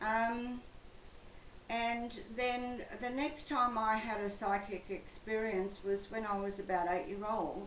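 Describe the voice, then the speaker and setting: Spoken very slowly in an Australian accent with ordinary pitch variation, the voice carries audible room echo over noticeable background noise. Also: woman, fairly high pitch for a woman. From Australia, western Sydney. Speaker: psychic vlogger. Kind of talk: personal monologue vlog.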